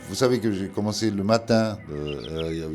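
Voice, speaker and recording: A man with a non-native accent, fairly slow pace and ordinary pitch variation, amid audible room echo and music in the background. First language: not French (speaking French). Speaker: painter. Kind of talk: interview. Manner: halting, many hesitations.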